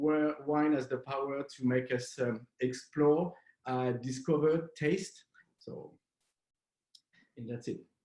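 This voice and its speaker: Using a French accent, a man with a fairly high pitch speaks at a very slow pace with fairly even intonation and long, frequent pauses. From southwest France. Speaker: wine importer. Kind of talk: online wine masterclass. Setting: video call. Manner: halting, many fillers.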